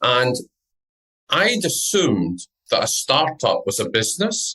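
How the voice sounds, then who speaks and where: This man talks with a Scottish accent. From Scotland. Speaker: entrepreneur and business network founder. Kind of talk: podcast interview.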